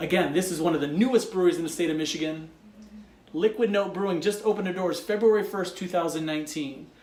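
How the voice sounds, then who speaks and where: A man speaks at a very fast pace and a high pitch with ordinary pitch variation and an enthusiastic tone. Noticeable background noise is present. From Michigan, Detroit suburbs. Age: 40s. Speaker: craft beer reviewer. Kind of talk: travel vlog narration. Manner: casual, enthusiastic.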